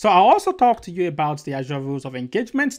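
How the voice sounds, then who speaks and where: Over a quiet background, a man talks very fast with lively intonation. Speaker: presenter. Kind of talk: lecture. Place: home room.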